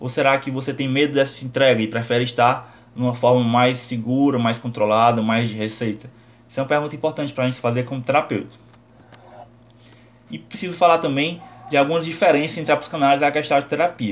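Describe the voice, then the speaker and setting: Using a normal speaking voice, a man of medium pitch talks at a fairly quick pace with ordinary pitch variation. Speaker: psychology teacher. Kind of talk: lecture.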